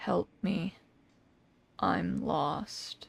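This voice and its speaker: Quietly, someone whispers in a put-on character voice. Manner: whispering, quiet, pleading.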